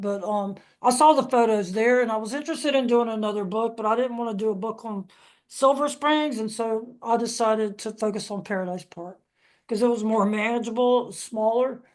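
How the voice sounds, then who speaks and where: Against a quiet background, a woman with an unremarkable speaking voice talks fairly quickly at a fairly high pitch with fairly even intonation. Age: 60s. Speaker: author and historian. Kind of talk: panel discussion.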